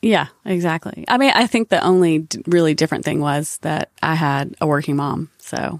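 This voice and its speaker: With a Southern US accent, a woman talks in a very deep, low pitch, recorded with a dry, close sound and no echo. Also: ordinary pitch variation, moderate pace. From US South, North Carolina. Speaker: advertising creative executive. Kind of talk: casual interview conversation.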